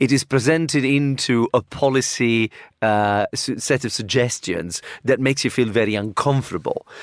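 A man talks at a moderate pace with an Italian accent, his pitch medium and ordinarily varied. The sound is dry and close with no echo. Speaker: university professor. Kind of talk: panel discussion. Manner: halting, hesitant.

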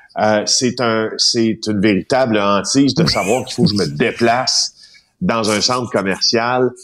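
A man's normal speaking voice at a medium pitch, with ordinary pitch variation and a fairly slow pace. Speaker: investigative journalist. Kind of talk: radio column chat.

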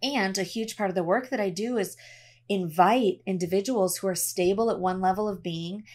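On a very clean recording with a silent background, a woman speaks at a medium pitch and moderate pace with ordinary pitch variation in a plain, everyday voice. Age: 30s. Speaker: ceremonialist and spiritual facilitator. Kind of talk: casual chat.

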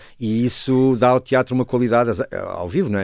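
A man's voice at a medium pitch. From northern Portugal, Douro/Porto. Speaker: stage actor and director. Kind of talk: radio interview. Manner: halting.

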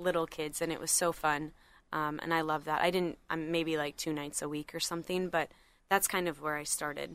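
On a very clean recording with a silent background, a woman with an American accent speaks at a fairly low pitch, her tone bright and sharp and her intonation monotone and flat. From Minnesota. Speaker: gymnastics head coach. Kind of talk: interview. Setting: studio.

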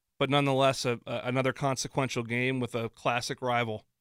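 Someone with a normal speaking voice and an American accent talks at a moderate pace. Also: man. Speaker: radio host. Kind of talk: live sports talk radio show. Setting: studio. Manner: chatty, easygoing, upbeat radio patter.

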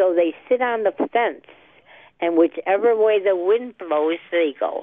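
At a fairly slow pace, a woman with an American accent speaks in a medium pitch with lively intonation. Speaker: caller. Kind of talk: casual talk radio call. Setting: phone call.

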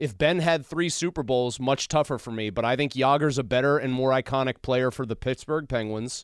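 In a very clean recording with a silent background, a man talks at a fairly quick pace with hardly any pauses, in a plain, everyday voice of medium pitch and ordinary pitch variation. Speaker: radio sports talk host. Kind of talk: casual sports talk debate. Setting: radio studio.

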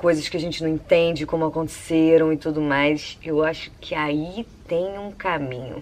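A woman is talking. Her voice is very deep and low in pitch. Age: 30s. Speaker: columnist. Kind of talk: personal monologue. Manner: casual, conversational.

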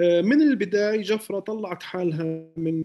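This man's fairly slow speech keeps its intonation fairly even. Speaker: musician and music producer. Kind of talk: casual interview chat. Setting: Ramallah.

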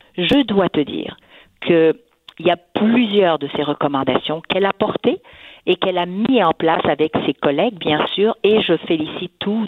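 A woman's ordinary speaking voice, fairly low in pitch, at a fairly slow pace with lively intonation. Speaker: businesswoman. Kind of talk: radio interview.

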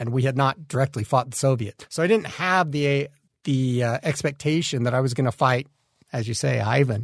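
At a moderate pace and somewhat breathy, the speaker uses an American accent in a dry, close sound with no echo. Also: man. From Utah, US. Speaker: army veteran. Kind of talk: interview testimony. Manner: halting, repeats words.

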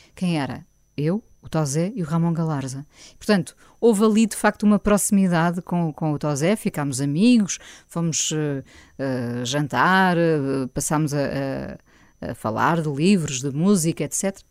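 Very deep and low in pitch, a woman's voice moves at a fairly slow pace with lively intonation on a very clean recording with a silent background. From Portugal, Lisbon. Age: 50s. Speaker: radio host. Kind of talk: interview conversation. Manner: hesitant, many fillers.

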